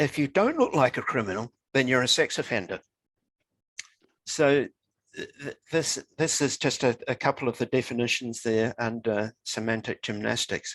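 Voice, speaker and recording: The recording has a dry, close sound with no echo. A man speaks with a New Zealand accent at a moderate pace, with ordinary pitch variation. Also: medium pitch for a man. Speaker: author. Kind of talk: interview conversation.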